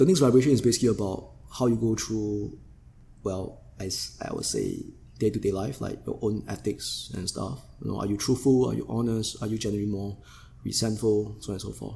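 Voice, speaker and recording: With vocal fry and a dark, mellow tone, a man talks at a fairly quick pace in a fairly low pitch. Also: ordinary pitch variation. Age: 40s. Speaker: yoga teacher. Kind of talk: casual interview conversation.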